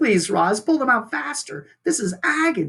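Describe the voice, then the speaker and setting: A put-on character voice, fairly high in pitch and strained, with very wide swings in pitch. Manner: pained, strained.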